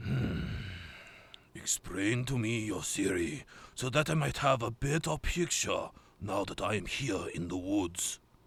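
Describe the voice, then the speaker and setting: Using a put-on character voice at a medium pitch, a man speaks at a fairly slow pace. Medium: audio drama. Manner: formal, terse, serious.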